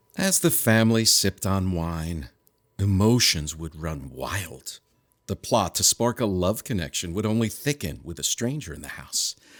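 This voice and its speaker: Over a very clean recording with a silent background, a man with a very deep, low pitch speaks at a moderate pace, his intonation lively and his loudness swinging widely. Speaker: unseen narrator. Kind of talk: rhyming storybook narration in a comedy short.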